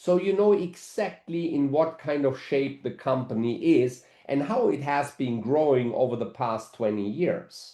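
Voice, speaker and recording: A man with a fairly high pitch and a dark, mellow tone speaks at a fairly slow pace with lively intonation and hardly any pauses. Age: 60s. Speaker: network marketing executive. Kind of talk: webinar presentation.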